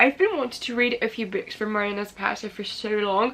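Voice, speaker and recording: There is noticeable background noise in this clip. A woman speaks with a fairly high pitch. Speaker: booktuber. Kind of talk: casual vlog talk. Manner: hesitant fillers.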